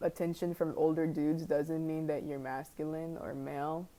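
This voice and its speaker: A woman at a fairly slow pace. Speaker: reaction youtuber. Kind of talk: reaction commentary. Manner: halting, hesitant.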